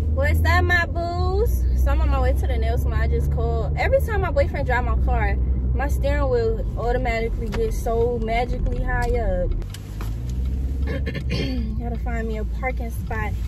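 Loud background noise surrounds a woman's speech. The sound itself is dry, with no echo. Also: ordinary pitch variation, moderate pace. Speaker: vlogger. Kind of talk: casual vlog chat. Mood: relaxed, chatty. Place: car. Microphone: phone near.

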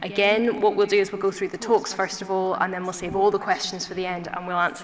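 A woman talks at a very fast pace with fairly even intonation. Noticeable background noise runs underneath. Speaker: doctor hosting the event. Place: hall. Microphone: podium.

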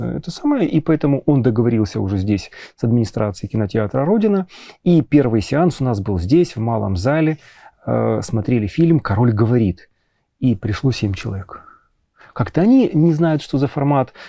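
On a dry recording with no echo and a quiet background, a man with a dark, mellow tone speaks at a moderate pace with lively intonation and long, frequent pauses. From Ukraine. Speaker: psychologist, film club host; film club host. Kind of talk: interview. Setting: cinema hall. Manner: halting. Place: hall. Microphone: lapel.

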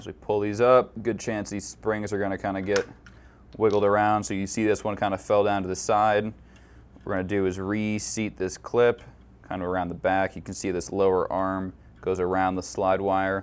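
A man's unremarkable speaking voice, fairly low in pitch, at a moderate pace with fairly even intonation. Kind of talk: tutorial. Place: workshop.

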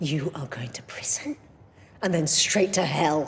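Putting on a character voice, a woman speaks fairly slowly at a low pitch, with vocal fry and lively intonation.

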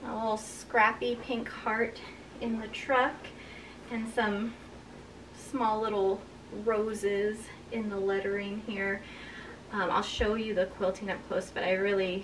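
Over noticeable background noise, a woman speaks at a fairly slow pace in a monotone, flat intonation, leaving long, frequent pauses. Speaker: quilting vlogger. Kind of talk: casual vlog chat. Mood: cheerful and warm. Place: home room.

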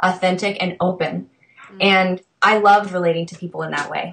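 With light background noise, a woman talks at a moderate pace and fairly even intonation. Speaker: interviewed coach. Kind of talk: interview answer. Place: home room. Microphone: video call.

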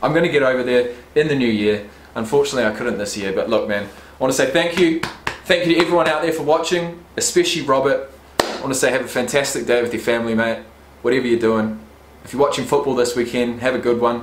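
A man talks at a very fast pace with ordinary pitch variation. Audible room echo surrounds his voice. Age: 20s. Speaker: YouTuber and rugby player; YouTuber. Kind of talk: casual vlog unboxing. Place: home room. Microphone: webcam.

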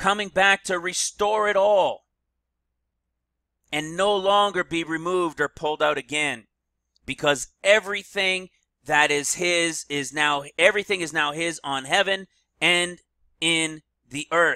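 A loud, animated man's voice, high-pitched with ordinary pitch variation, at a fairly slow pace with long, frequent pauses, in a dry, close sound with no echo. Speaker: online preacher. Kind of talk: sermon.

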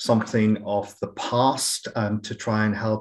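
Against a quiet background, a man with a fairly low pitch talks at a fairly slow pace. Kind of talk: webinar introduction. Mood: warm, sombre in parts. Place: home room. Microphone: webcam.

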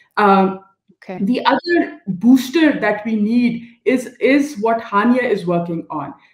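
A woman talks with lively intonation in a somewhat breathy voice. Room echo is audible, though the background is quiet. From Pakistan. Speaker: NGO director; panelist. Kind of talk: panel discussion. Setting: video call. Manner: animated. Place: home room. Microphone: video call.

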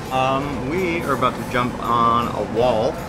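A man is speaking. Music plays in the background. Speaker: sailing vlogger. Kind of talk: casual vlog chat. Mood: upbeat, playful. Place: boat. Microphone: phone near.

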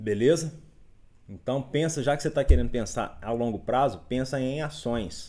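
Vocal fry marks a dark, mellow voice that moves at a moderate pace with ordinary pitch variation. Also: man. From Minas Gerais, Brazil. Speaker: investment educator. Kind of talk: live stream market commentary reading chat. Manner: casual, upbeat. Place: home room.

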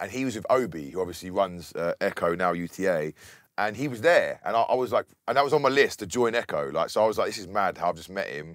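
Very fast and fairly low-pitched, a man talks with lively intonation and big swings in loudness, the sound dry with no echo against a quiet background. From Bedford, England; England. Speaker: DJ and music producer; DJ. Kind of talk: casual interview. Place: studio.

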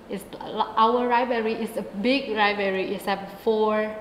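A woman's fairly high voice in a flat monotone at a fairly slow pace, with audible room echo and light background noise. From northern Thailand, Mae Sai; northern Thailand. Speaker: university student; student co-host. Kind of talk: interview. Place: studio. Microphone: lapel.

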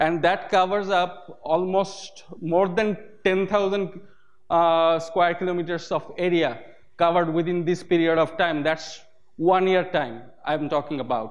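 This man has a Bengali accent and a high pitch. He talks at a fairly slow pace with very even loudness. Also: ordinary pitch variation. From Bangladesh. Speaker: OpenStreetMap community volunteer. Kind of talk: conference talk. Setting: stage with audience. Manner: hesitant, many filler sounds. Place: hall.

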